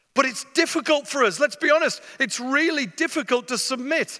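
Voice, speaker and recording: A raised, projected voice with an English accent, bright and sharp in tone, at a moderate pace with ordinary pitch variation. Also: man. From northeast England. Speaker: mission agency leader, visiting preacher. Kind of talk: sermon. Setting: church stage with masked audience.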